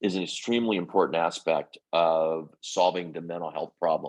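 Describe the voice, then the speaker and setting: With an American accent, a man of very deep, low pitch speaks at a moderate pace with fairly even intonation. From US Midwest, Indiana. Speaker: business executive. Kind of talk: podcast interview. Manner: halting, many fillers and repeats.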